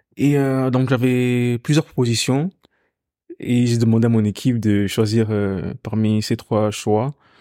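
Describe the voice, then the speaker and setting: Dry and close with no echo, the recording captures a man speaking at a very slow pace in a dark, mellow tone, his medium pitch following fairly even intonation. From Ghana, moved to Belgium at 9-10. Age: 20s. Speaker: singer. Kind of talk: interview conversation.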